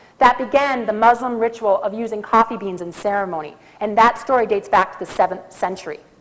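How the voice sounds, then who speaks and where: Talking at a very fast pace over noticeable background noise, a woman with an American accent uses a fairly high pitch and ordinary pitch variation. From US Midwest, Minnesota. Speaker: conference speaker on coffee. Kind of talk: conference talk.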